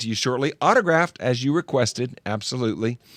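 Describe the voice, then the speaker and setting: A man with an American accent speaks in a plain, everyday voice at medium pitch and a moderate pace. The sound is dry and close with no echo, on a very clean recording with a silent background. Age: 60s. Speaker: show host. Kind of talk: casual chat.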